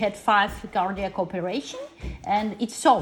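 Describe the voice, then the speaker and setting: A woman talks at a moderate pace in a non-native accent. Her pitch varies in an ordinary way, with noticeable background noise. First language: not English. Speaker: parent of a patient. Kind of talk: medical consultation. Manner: halting.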